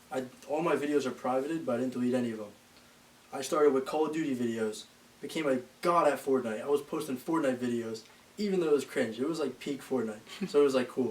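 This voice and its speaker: The voice moves at a very fast pace with ordinary pitch variation. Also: man. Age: 20s. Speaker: bodybuilding content creator. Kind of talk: casual podcast interview.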